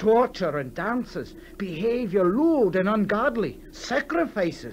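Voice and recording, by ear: A man's put-on character voice, high in pitch, slow in pace, with big pitch swings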